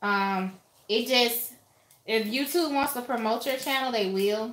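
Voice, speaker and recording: A woman speaks in a raised, projected voice at a high pitch, with a bright, sharp tone. Her pace is very slow, and the room echo is audible. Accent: American. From Alabama, US South. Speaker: YouTuber, lifestyle vlogger. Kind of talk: casual livestream chat. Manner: animated.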